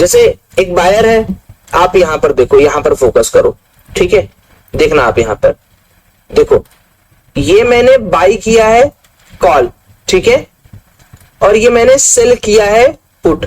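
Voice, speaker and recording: A man speaks at a very slow pace with very even loudness and long, frequent pauses. The sound is dry and close, with no echo. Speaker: trading teacher. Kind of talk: live class. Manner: animated.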